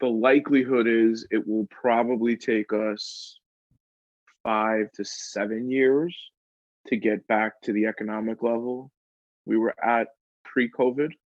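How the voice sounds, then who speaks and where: A man speaks at a fairly slow pace with a New York accent. His intonation stays fairly even, broken by long, frequent pauses. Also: medium pitch for a man. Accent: New York City. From Queens, New York City. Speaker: New York real estate expert and content creator. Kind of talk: podcast interview answer. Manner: candid, unfiltered.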